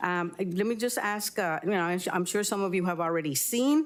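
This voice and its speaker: The speaker's Spanish accent comes with lively intonation. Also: woman. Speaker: public commenter. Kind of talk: public comment. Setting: council chamber.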